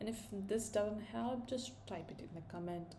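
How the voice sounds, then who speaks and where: A woman talks at a fairly slow pace. Room echo is audible, and background noise is noticeable. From India. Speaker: programming tutor. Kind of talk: tutorial. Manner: casual, thinking aloud.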